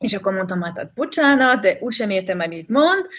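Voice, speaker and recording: A woman in a French accent speaks at a moderate pace, somewhat breathy, with lively intonation. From France, Rennes. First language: French (speaking Hungarian). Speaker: expat mother. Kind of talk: interview. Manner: halting.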